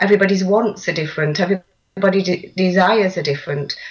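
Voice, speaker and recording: Speaking very fast in an East Midlands accent, a woman uses a medium pitch with ordinary pitch variation. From central England, Lincolnshire. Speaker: coach and author. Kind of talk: interview.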